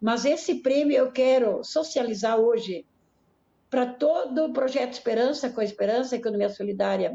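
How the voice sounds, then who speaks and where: Her loudness very even, a woman speaks at a high pitch and moderate pace with ordinary pitch variation. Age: 70s. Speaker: nun and solidarity economy project coordinator. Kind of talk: interview.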